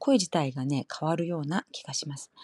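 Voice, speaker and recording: A woman's very deep, low-pitched voice. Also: dry, close sound with no echo. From Kansai, Japan. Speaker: Japanese language teacher, podcaster. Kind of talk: casual language lesson monologue. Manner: switches between Japanese and Korean.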